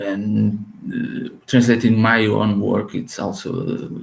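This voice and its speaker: The speaker is a man. He talks with a Portuguese accent. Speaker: author and translator. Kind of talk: podcast interview. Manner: halting, with many repetitions and fillers.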